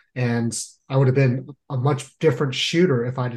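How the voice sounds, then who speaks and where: A man speaks in a somewhat breathy voice at a medium pitch. The background is quiet. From San Jose, California. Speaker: podcast host, Marine veteran. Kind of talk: interview.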